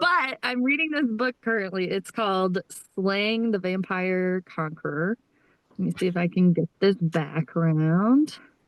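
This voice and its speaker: Lively intonation runs through a plain, everyday voice at a fairly slow pace. The sound is dry and close, with no echo. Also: woman, medium pitch for a woman. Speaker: book podcast co-host. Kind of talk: casual chat.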